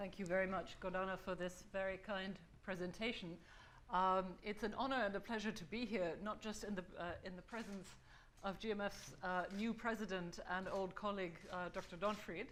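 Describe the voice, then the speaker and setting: In a medium pitch, a woman's flat, monotone delivery rings with audible room echo. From Germany. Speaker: think-tank fellow presenting a survey report. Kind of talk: conference presentation. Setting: conference stage with audience. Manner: fast.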